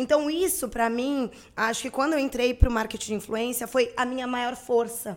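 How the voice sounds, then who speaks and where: On a very clean recording with a silent background, a woman talks at a moderate pace with a high pitch. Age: 30s. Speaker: marketing agency owner. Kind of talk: interview.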